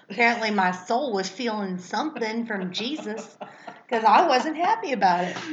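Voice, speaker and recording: With noticeable background noise behind her, a woman speaks at a moderate pace in a fairly high pitch and lively intonation. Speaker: podcast co-host. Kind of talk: casual chat.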